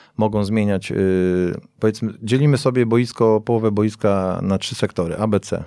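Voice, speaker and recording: A man with a dark, mellow tone speaks at a fairly quick pace in a very clean recording with a silent background. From Poland, Piaseczno near Warsaw. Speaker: football coach. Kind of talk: interview.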